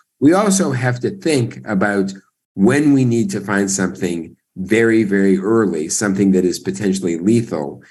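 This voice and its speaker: Amid audible room echo, a man with a fairly low pitch talks at a moderate pace with lively intonation. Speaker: breast cancer oncologist. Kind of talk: panel discussion.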